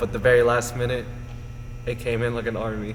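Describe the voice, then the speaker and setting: Through noticeable background noise and audible room echo, a man with an American accent speaks at a very fast pace and medium pitch in monotone, flat intonation. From Las Vegas, Nevada. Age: 20s. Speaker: personal trainer. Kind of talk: interview.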